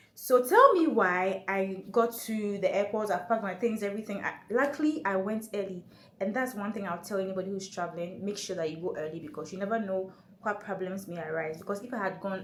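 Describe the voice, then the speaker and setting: A woman with a medium pitch and ordinary pitch variation speaks at a fairly quick pace. Room echo is audible, and background noise is noticeable. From Ghana. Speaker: travel vlogger. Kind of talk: casual vlog talk to camera. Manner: fast; animated.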